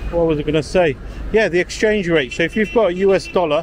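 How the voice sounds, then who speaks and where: A man's voice over light background noise. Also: dry sound with no echo. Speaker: travel vlogger. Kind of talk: casual vlog chat. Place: street. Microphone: phone near.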